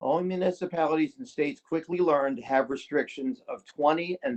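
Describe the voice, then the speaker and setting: An ordinary speaking voice comes with an American accent. The pace is moderate. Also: man. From Maryland. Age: 60s. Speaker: public commenter. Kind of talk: public hearing testimony.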